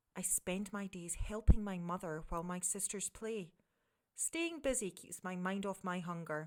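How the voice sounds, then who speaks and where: A woman with a Scottish accent speaks at a medium pitch and a moderate pace. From Scotland. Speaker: communications director. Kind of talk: children's story reading.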